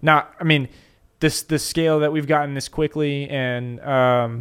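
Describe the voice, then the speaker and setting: A man with a plain, everyday voice talks fairly slowly, his fairly high pitch showing ordinary variation. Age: 20s. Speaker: podcast host and investment firm partner. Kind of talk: casual interview chat.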